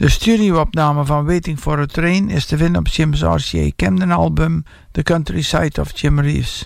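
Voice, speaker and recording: A man in a Dutch accent at a moderate pace, with hardly any pauses. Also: very even loudness. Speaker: radio presenter of a Jim Reeves tribute show. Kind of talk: radio DJ patter, introducing tracks and album sides in Dutch.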